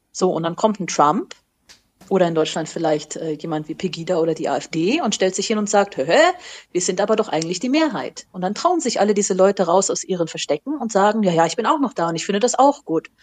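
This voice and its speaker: A woman speaks in a plain, everyday voice at a medium pitch. Her intonation is lively and her pace fairly quick. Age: 30s. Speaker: school teacher. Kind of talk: casual interview. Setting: remote call.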